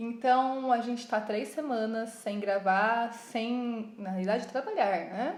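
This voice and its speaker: A woman with a São Paulo interior accent speaks at a very slow pace in a fairly high pitch, with audible room echo. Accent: caipira accent from interior São Paulo. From interior of São Paulo state, Piracicaba. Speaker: podcast co-host, craft business. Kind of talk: casual chat.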